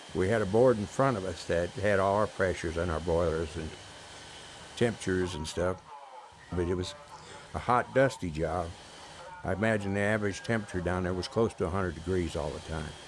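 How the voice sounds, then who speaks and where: A man with a very deep, low voice and an American accent speaks at a fairly quick pace with long, frequent pauses and ordinary pitch variation, amid noticeable background noise. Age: 70s. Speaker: navy veteran. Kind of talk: interview testimony. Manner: halting.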